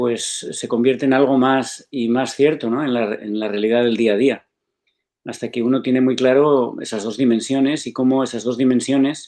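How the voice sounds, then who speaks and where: At a moderate pace, a man talks in a flat monotone at a medium pitch. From Spain. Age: 60s. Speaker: spiritual author and foundation director. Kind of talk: interview. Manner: reflective, with many hesitations.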